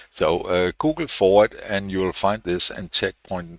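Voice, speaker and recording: Speaking at a fairly slow pace, a man with a very deep, low pitch and a bright, sharp tone is captured in a very clean recording with a silent background and a dry, close sound with no echo. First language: not English. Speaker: programming tutorial youtuber. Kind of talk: tutorial. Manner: hesitant, many fillers.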